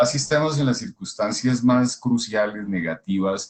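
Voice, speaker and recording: A man's medium-pitched voice with ordinary pitch variation, at a moderate pace. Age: 60s. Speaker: scholar of integral thought. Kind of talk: casual conversation. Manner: halting.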